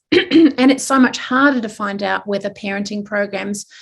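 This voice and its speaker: In a very clean recording with a silent background, a woman speaks at a moderate pace with a medium pitch and a somewhat breathy sound. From New Zealand. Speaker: psychology professor and researcher. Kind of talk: research forum talk.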